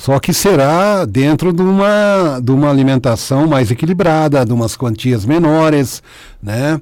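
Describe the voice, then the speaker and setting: A normal speaking voice from a man, fairly slow and lively in intonation, with very even loudness and fairly high pitch. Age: 50s. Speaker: patient, sales representative. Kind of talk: radio interview.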